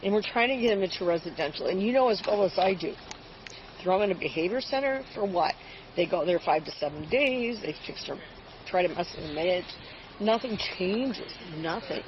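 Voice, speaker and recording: Noticeable background noise accompanies a woman's speech. Her pitch is medium and her intonation lively. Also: fairly quick pace. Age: 70s. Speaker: grandmother calling police, retired nurse. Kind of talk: police encounter conversation. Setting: outdoors by a car, police bodycam.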